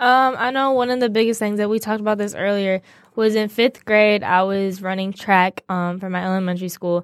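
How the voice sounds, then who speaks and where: On a very clean recording with a silent background, a woman with a normal speaking voice talks at a fairly quick pace and medium pitch, her intonation fairly even and the sound dry and close with no echo. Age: 20s. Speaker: college student, host's daughter. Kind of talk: casual interview. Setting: studio.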